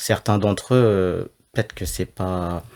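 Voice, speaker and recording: A man speaks at a fairly slow pace in a normal speaking voice, fairly low in pitch with fairly even intonation. The recording is very clean, with a silent background. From France. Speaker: law student, guest. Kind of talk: interview.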